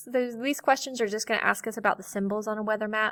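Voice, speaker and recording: A bright, sharp tone in a dry, close sound with no echo, on a very clean recording with a silent background. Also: woman. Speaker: teacher. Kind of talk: lecture.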